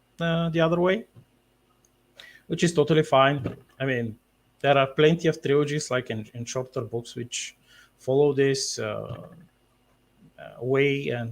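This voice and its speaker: With long, frequent pauses and big swings in loudness, a man speaks in a somewhat breathy, fairly high-pitched voice. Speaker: author. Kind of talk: interview. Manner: halting, many fillers.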